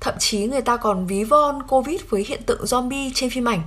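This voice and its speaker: A woman's normal speaking voice at a fairly slow pace, with ordinary pitch variation. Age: 20s. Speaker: podcast host. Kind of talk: solo reflective podcast monologue.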